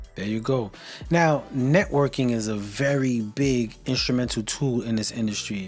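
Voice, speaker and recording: With music in the background, a man talks in an upbeat tone at a moderate pace, his medium-pitched voice varying in an ordinary way. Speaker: radio show host. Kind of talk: podcast interview host.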